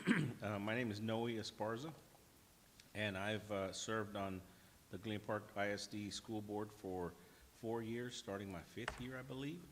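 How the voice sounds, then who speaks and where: This man has a plain, everyday voice and an American accent. His pitch is fairly low, with ordinary variation, and his pace is moderate. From Texas, Houston area. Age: 50s. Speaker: school board trustee. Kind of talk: meeting introductions.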